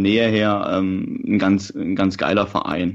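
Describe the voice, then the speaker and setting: A man speaks with a slight Saxon accent and fairly even intonation. The background is quiet. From Saxony, Germany. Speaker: football podcast co-host, journalist. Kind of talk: casual chat.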